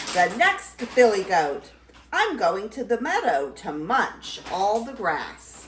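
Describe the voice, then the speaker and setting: A woman's put-on character voice, fairly high and fairly slow, with very wide pitch swings. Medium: read story. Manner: bleating.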